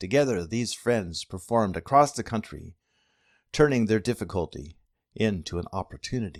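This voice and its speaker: An unremarkable speaking voice at a moderate pace with lively intonation, dry and close with no echo, on a very clean recording with a silent background. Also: man, fairly low pitch for a man. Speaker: preacher giving a sermon. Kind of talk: sermon delivery.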